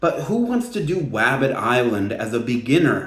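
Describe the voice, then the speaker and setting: A somewhat breathy man with lively intonation and audible room echo. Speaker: gaming video creator. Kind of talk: casual commentary video. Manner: animated.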